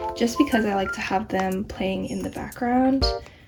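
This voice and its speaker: Pitch varies in an ordinary way. There is music in the background. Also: woman. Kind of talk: casual voiceover for a collection video. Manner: awkward, many filler words.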